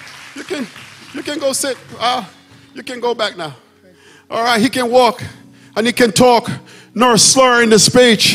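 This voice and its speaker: Music plays in the background as the speaker talks at a moderate pace in an animated tone, with ordinary pitch variation. Loudness swings widely, and long pauses come often. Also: man. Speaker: pastor. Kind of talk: sermon.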